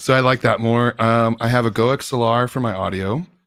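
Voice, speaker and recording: A man is speaking. His pace is moderate. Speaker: gaming streamer. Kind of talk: casual chat.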